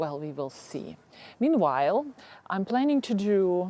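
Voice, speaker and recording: A woman with a Ukrainian accent speaks in a dark, mellow tone. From Ukraine. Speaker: gardening YouTuber. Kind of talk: casual chat. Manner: halting.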